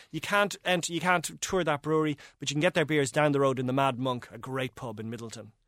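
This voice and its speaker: In a very clean recording with a silent background and a dry, close sound with no echo, a man with an Irish accent talks at a very fast pace with hardly any pauses, in a fairly high-pitched voice with ordinary pitch variation. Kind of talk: casual chat.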